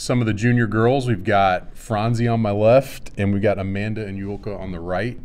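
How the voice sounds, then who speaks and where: Speaking with a Texas accent, a man shows ordinary pitch variation, with audible room echo around him. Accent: Texas drawl. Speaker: swim coach. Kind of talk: casual chat. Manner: slow, calm drawl.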